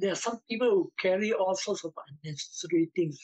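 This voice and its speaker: A man on a dry recording with no echo, against a quiet background. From Singapore. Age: 70s. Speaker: blogger recalling childhood memories. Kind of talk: oral history interview. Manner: halting. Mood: reflective reminiscing. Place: home room. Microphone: video call.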